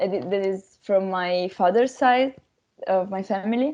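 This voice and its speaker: A woman's medium-pitched voice with an Italian accent, fairly slow and dark, mellow in tone. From Italy. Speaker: language workshop participant. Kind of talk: casual group discussion. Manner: halting, many fillers.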